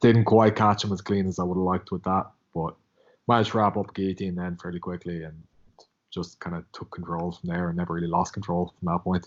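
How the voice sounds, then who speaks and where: With an Irish accent, a man talks at a very fast pace. His very deep, low voice stays monotone and flat. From Ireland. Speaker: MMA fighter. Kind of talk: casual interview.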